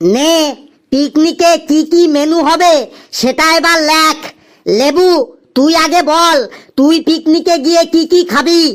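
This is a cartoonish character voice pitched high. It moves at a fairly slow pace. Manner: bantering, fatherly.

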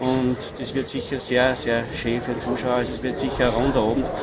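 A man's voice with music in the background. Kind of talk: interview answer. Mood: relaxed, pleased. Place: street. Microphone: handheld.

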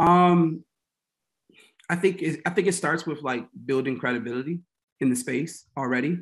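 Speaking at a moderate pace with an American accent, a man uses a fairly high pitch and ordinary pitch variation, leaving long, frequent pauses against a quiet background. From Washington, D.C. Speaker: talent manager and agency founder; podcast guest. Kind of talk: casual interview chat. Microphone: webcam.

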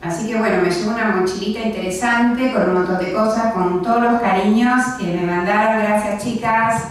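Amid strong room echo and light background noise, a woman with a fairly high pitch talks at a moderate pace with fairly even intonation and hardly any pauses. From Argentina, Quilmes (Buenos Aires). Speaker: library director. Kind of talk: lecture. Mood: warm, grateful. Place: meeting room.

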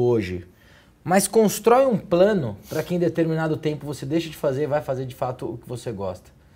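A somewhat breathy man's voice with a dark, mellow tone and very wide pitch swings. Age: 30s. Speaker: TV talk show host. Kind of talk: interview. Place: office. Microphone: lapel.

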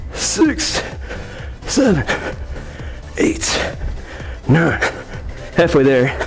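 Over faint music in the background, the speech moves at a very slow pace. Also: man. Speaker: fitness trainer. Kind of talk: workout instruction, counting reps. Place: gym. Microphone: lapel.

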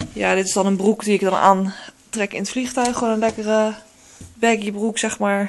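A woman talks at a moderate pace with monotone, flat intonation over light background noise. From Netherlands. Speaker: beauty vlogger. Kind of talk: casual vlog. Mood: relaxed, chatty. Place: home room. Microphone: phone near.

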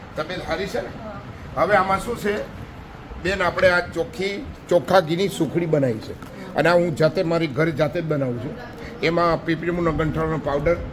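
A high-pitched man's voice with ordinary pitch variation, noticeable background noise and audible room echo. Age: 60s. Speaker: charity volunteer. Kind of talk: casual chat. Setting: hospital ward.

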